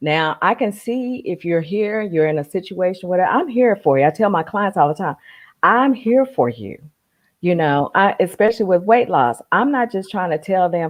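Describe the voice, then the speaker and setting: Lively intonation runs through a woman's plain, everyday voice. Her pitch is medium and her pace moderate. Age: 60s. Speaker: life coach. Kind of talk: casual chat.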